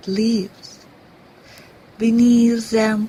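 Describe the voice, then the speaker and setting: Very slow talking from a woman, noticeable noise behind her. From Russia. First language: Russian. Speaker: actress. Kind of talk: poetry reading.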